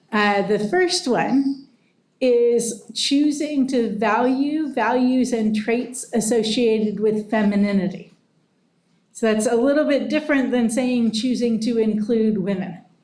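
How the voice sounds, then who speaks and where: Audible room echo surrounds a woman's fairly high voice. She talks at a fairly slow pace with ordinary pitch variation. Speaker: professor. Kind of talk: lecture. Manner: loud.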